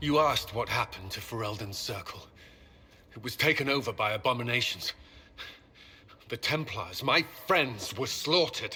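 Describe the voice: Using a put-on character voice, a man speaks fairly slowly at a medium pitch. The tone is bright and sharp, with a husky, rough edge and lively intonation.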